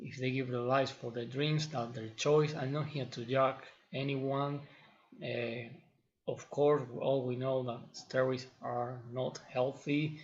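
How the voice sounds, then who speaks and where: In a non-native accent, a man with a medium pitch speaks at a fairly slow pace in a flat monotone, his voice somewhat breathy against audible room echo. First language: not English. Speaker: fitness trainer, video blogger. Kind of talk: opinion monologue to camera. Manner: halting, with fillers and repetitions.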